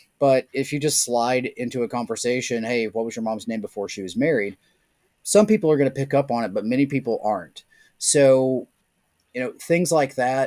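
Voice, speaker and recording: Here a man with an American accent speaks in a dark, mellow tone. The recording is very clean with a silent background, the sound dry and close with no echo. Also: medium pitch for a man, ordinary pitch variation, moderate pace. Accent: Southern US, can be turned up. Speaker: social engineering and security consultant. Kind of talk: podcast interview.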